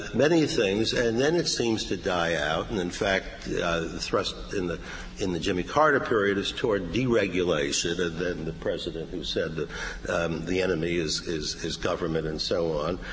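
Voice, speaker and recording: With noticeable background noise behind him, a man talks at a moderate pace in a very deep, low pitch, his intonation lively. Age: 70s. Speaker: political science professor. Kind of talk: academic panel commentary. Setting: stage with audience. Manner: halting.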